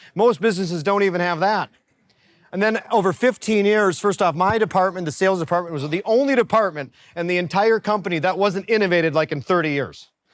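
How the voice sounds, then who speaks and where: Very fast and animated, a man with an American accent talks at a high pitch with ordinary pitch variation. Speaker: business coach. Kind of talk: workshop presentation.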